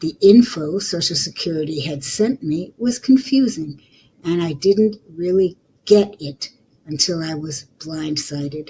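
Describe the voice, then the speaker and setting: A woman talks at a fairly slow pace and fairly low pitch, her dark, mellow tone somewhat breathy, with lively intonation and big swings in loudness. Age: 70s. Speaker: podcaster and author. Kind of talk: reading aloud own letter.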